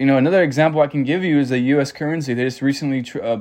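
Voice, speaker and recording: A man with an American accent, a fairly high pitch, a dark, mellow tone and fairly even intonation. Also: quiet background. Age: 20s. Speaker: podcast host. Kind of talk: solo podcast monologue.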